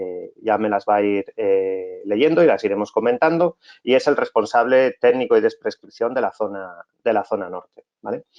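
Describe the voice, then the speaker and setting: A man talks with a medium pitch, ordinary pitch variation and a moderate pace. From Asturias, northern Spain. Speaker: technical director and course instructor. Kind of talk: online technical lecture. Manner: hesitant, many fillers.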